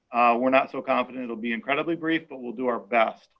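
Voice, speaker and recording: This man talks at a very fast pace with a medium pitch. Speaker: school superintendent. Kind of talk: public information forum presentation. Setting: video call.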